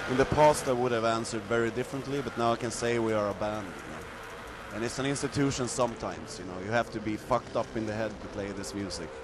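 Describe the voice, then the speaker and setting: A man with a Swedish accent talks at a very fast pace with hardly any pauses, medium pitch and ordinary pitch variation. Noticeable background noise runs under his voice. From Sweden. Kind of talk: interview. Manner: casual, frequent fillers.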